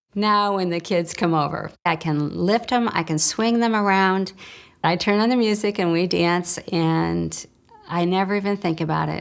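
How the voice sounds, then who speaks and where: A woman with a Midwestern accent speaks in a fairly low pitch at a moderate pace. Her intonation is fairly even on a very clean recording with a silent background. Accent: American Midwest. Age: 60s. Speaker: customer giving a testimonial. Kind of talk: testimony.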